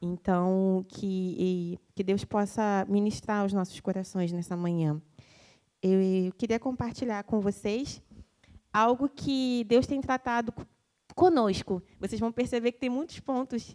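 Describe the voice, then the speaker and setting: With a dark, mellow tone, a woman speaks at a fairly slow pace with big swings in loudness, the sound dry and close with no echo. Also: medium pitch for a woman, ordinary pitch variation. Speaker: lay preacher. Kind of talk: sermon.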